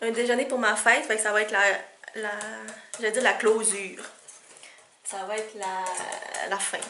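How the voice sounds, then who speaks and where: Speaking fairly slowly in a Quebec accent, a woman holds a fairly high pitch and monotone, flat intonation, with noticeable background noise and audible room echo. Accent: Québécois. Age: 20s. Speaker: vlogger. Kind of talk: casual vlog.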